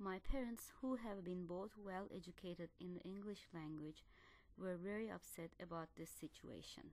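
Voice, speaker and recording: With a Turkish accent, a woman talks at a medium pitch. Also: ordinary pitch variation, moderate pace. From Turkey, Ankara. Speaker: doctoral student. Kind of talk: scripted narration.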